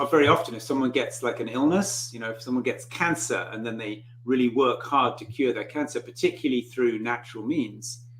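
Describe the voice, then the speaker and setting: A man speaks at a moderate pace in a medium pitch, his loudness swinging widely over noticeable background noise. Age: 60s. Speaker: author and spiritual teacher. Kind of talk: interview. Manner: halting.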